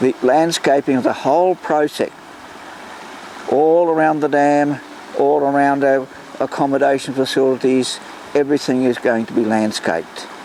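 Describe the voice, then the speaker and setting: A man with an Australian accent, at a moderate pace with fairly even intonation and long, frequent pauses, over noticeable background noise. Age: 80s+. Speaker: volunteer historian and landscaper. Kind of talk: interview monologue.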